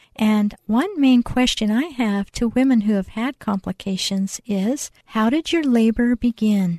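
At a fairly slow pace, a woman with a fairly high pitch speaks in a somewhat breathy voice with a dark, mellow tone, ordinary pitch variation and very even loudness, in a dry, close sound with no echo and a quiet background. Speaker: midwife and birth center owner. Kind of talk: radio interview. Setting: studio. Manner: calm, soothing.

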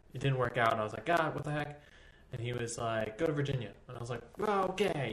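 Speaking very fast with an American accent, a man holds a medium pitch. Audible room echo surrounds his voice. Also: lively intonation. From Texas. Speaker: dance teacher. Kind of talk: casual chat. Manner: animated.

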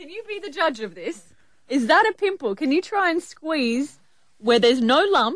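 With an Australian accent, a woman talks at a moderate pace in a high pitch, her pitch swinging very widely and her loudness rising and falling sharply over noticeable background noise. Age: 30s. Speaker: breakfast radio co-host. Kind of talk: casual chat; news reading.

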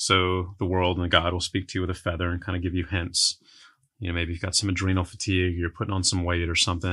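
Against a quiet background, a man with a very deep, low voice talks very fast in a flat monotone, his tone bright and sharp. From Texas, San Antonio. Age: 40s. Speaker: entrepreneur. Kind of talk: casual chat.

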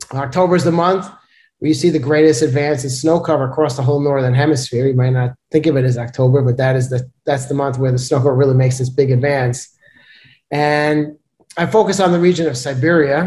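A man with an American accent talks very fast at a fairly high pitch, his voice dark, mellow and somewhat breathy with fairly even intonation. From New York City (Brooklyn). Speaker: seasonal forecaster, climate scientist. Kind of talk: interview, casual expert discussion. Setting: video call.

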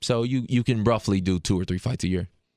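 A plain, everyday voice from a man with an American accent, fairly low in pitch with fairly even intonation, in a dry, close sound with no echo. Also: very clean recording, silent background. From Detroit. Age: 20s. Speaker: MMA fighter. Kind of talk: recorded interview.

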